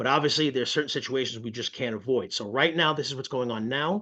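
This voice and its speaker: Against a quiet background, a man speaks in a bright, sharp tone with ordinary pitch variation. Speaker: student loan counselor. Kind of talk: webinar presentation. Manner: fast.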